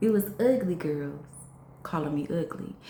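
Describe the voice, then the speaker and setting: A woman's very deep, low voice with very wide pitch swings at a fairly slow pace, with audible room echo. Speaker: vlogger. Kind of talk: personal testimony vlog. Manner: conversational, repetitive.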